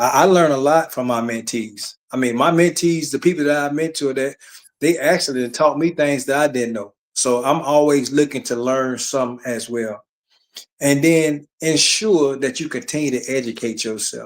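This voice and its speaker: A man speaks with an Alabama accent. His pitch sits fairly high. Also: ordinary pitch variation, moderate pace. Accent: Southern US (Alabama). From Alabama, US South. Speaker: retired army sergeant and author. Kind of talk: casual chat.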